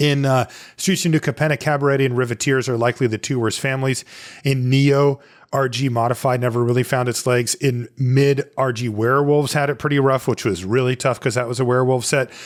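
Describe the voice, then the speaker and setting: This man's medium-pitched voice moves at a fairly quick pace, with very even loudness and fairly even intonation. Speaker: podcast host. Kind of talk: casual chat. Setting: remote call. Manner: calm, relaxed.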